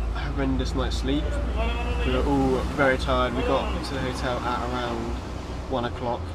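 Loud background noise under a man's moderately paced speech. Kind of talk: casual vlog chat. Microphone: phone near.

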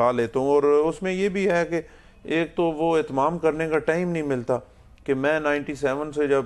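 A man's pitch moves in an ordinary way as he speaks at a fairly slow pace. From Pakistan, Punjab (Attock district); Punjab, Pakistan. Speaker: politician; politician guest. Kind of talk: interview. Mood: relaxed, reflective. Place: studio. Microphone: lapel.

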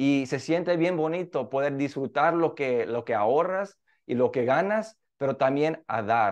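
A man speaks at a fairly slow pace with lively intonation and a fairly high pitch against a quiet background. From Mexico. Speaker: interviewee. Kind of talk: news interview. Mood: warm, upbeat. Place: office. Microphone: video call.

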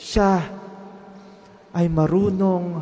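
A man speaks at a very slow pace. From Philippines. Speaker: priest. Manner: earnest, didactic, conversational. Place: church. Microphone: podium.

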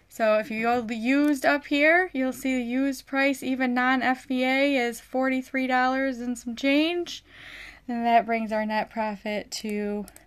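A woman's high-pitched voice, fairly even in intonation, at a fairly slow pace over a quiet background. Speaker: online reseller. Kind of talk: casual livestream tutorial. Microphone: phone near.

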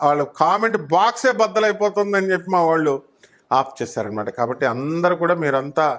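Very wide pitch swings run through this man's high voice. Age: 30s. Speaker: astrologer. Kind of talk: monologue to camera.

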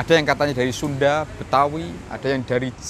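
Recorded with a dry sound and no echo but noticeable background noise, a man speaks at a moderate pace. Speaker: history vlogger. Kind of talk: commentary. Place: garden. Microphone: phone near.

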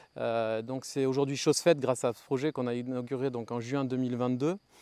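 A man at a moderate pace, in a dry sound with no echo. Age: 40s. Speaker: historic château owner. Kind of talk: interview testimony to camera. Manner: halting, with frequent repetitions and fillers. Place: garden. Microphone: lapel.

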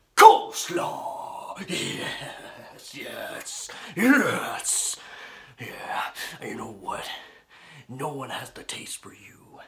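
This man drags along at a very slow pace in a put-on character voice. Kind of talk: wrestling promo. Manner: brash, shouting, boastful.

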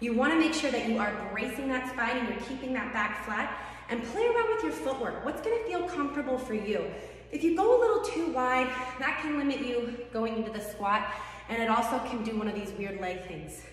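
Talking at a fairly quick pace, a woman with a high pitch is heard in a room with strong echo. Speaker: fitness coach. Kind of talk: tutorial. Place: gym. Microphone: camera far.

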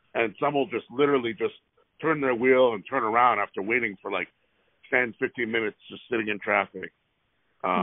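Against a quiet background, a man talks at a fairly quick pace in a dry sound with no echo. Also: ordinary pitch variation. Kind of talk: phone complaint call. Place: car. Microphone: phone near.

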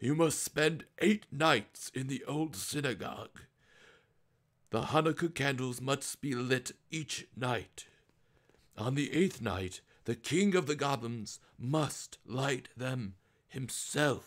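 Putting on a character voice, a man speaks at a very slow pace with a medium pitch and ordinary pitch variation. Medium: read story. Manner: grave.

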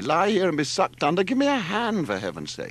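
A man uses a put-on character voice, pitched high. It swings very widely in pitch at a fairly quick pace.

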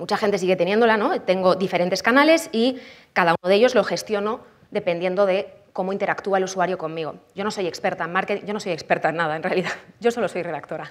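Animated in tone, a woman talks at a very fast pace with ordinary pitch variation. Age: 30s. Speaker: copywriting expert and conference speaker; conference speaker. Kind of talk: conference talk. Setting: stage with audience. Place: hall.

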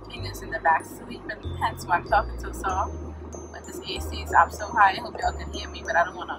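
Music runs in the background. Over it, a woman talks at a fairly quick pace. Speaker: vlogger. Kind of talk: casual vlog chat. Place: car. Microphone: phone near.

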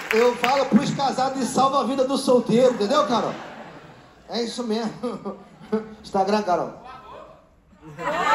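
Against loud background noise, the speaker talks with ordinary pitch variation and long, frequent pauses. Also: man, extremely high pitch for a man. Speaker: stand-up comedian. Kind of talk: stand-up comedy crowd work, teasing audience members with rapid-fire jokes. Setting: stage with live audience. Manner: loud, projecting to a live room with laughter. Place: stage. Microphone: handheld.

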